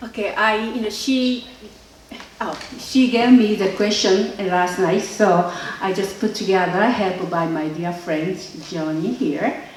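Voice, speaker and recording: A Japanese accent at a fairly slow pace with ordinary pitch variation, in audible room echo and noticeable background noise. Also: woman, medium pitch for a woman. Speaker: filmmaker. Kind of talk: interview. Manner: halting.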